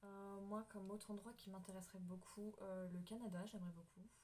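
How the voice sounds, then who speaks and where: Over noticeable background noise, a woman talks at a moderate pace and a medium pitch, her intonation monotone and flat. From France. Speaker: YouTuber. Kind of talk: casual chat.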